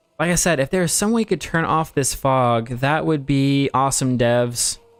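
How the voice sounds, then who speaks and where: With music playing in the background, the voice keeps a very even loudness, a moderate pace and lively intonation. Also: man, fairly high pitch for a man. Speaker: gaming streamer. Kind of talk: casual chat. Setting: livestream. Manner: rambling with fillers.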